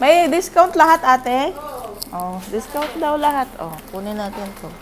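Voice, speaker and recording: A woman speaks at a moderate pace in a high pitch, her tone animated, with very wide pitch swings and big swings in loudness. Noticeable background noise sits behind her. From Philippines. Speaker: vlogger, factory worker abroad. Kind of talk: casual vlog narration. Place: shop. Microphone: earbuds.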